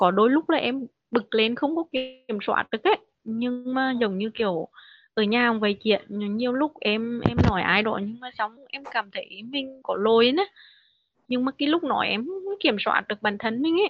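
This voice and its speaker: A woman talks at a moderate pace. Her high-pitched voice has lively intonation. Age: 30s. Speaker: factory worker. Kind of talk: personal testimony.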